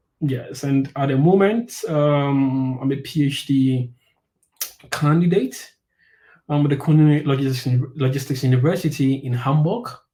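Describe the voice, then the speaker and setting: Fairly high for a man yet dark and mellow in tone, this somewhat breathy voice moves at a fairly slow pace with ordinary pitch variation. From Ghana. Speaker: PhD candidate. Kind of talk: podcast interview. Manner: halting.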